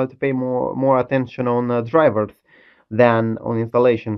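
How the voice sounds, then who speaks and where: The background is quiet. The pace is moderate. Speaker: tech hobbyist demonstrating a hack. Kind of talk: casual tech demo commentary. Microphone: phone near.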